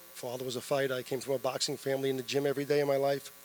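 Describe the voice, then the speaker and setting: Over noticeable background noise, a man with a New York accent speaks at a fairly quick pace. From New York City, the Bronx. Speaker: boxing promoter. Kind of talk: press conference remarks.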